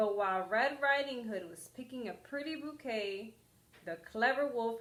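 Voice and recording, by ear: This recording captures reading aloud in a natural voice.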